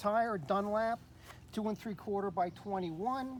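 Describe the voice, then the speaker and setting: This man has a high pitch. His pitch variation is ordinary. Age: 60s. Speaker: motorcycle owner selling his bike. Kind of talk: casual walkaround video description. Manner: hesitant, with fillers.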